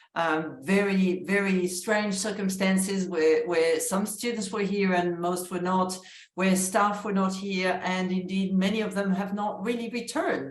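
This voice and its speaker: A woman speaks with a French accent at medium pitch and a fairly slow pace, her intonation monotone and flat. Audible room echo and noticeable background noise surround her voice. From France. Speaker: university vice-chancellor. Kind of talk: interview conversation.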